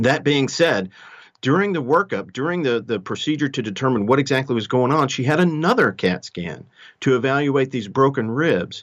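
At a medium pitch, a man speaks at a moderate pace with lively intonation. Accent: Texan. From Texas. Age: 50s. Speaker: emergency doctor. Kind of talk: interview, medical explanation.

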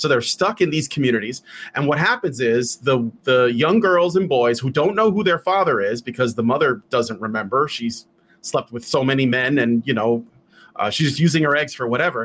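On a very clean recording with a silent background, a man with an American accent and an ordinary speaking voice talks at a moderate pace in a medium pitch with lively intonation. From Chicago, West Side. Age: 40s. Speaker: podcast tech producer. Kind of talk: casual interview chat.

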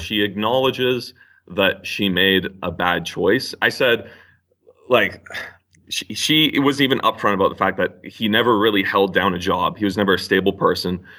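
A man's bright, sharp-toned voice at a fairly slow pace. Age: 20s. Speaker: university student. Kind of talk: call-in discussion. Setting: phone call. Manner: halting.

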